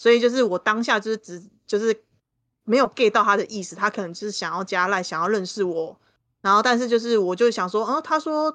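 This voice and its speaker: In a normal speaking voice with ordinary pitch variation, the speaker moves at a fairly quick pace over a quiet background. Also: woman, fairly high pitch for a woman. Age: 30s. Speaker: guest co-host and tarot reader. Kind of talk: casual chat.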